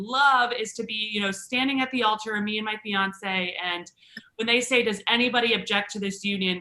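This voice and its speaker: Over noticeable background noise, a woman speaks at a fairly quick pace with a fairly high pitch and lively intonation. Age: 20s. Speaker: stand-up comedian. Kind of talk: stand-up.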